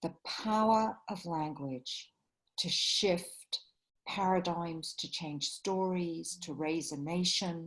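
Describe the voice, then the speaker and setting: A woman with a London accent speaks at a very slow pace, her fairly low pitch showing ordinary variation. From England, London. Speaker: writer and facilitator. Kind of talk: interview.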